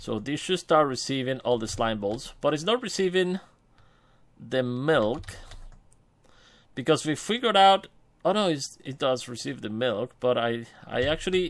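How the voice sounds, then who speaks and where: A man with a non-native accent and a fairly high pitch, lively intonation at a moderate pace, long and frequent pauses, on a very clean recording with a silent background. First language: not English. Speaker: gaming youtuber. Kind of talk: gameplay commentary. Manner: casual, hesitant with many fillers.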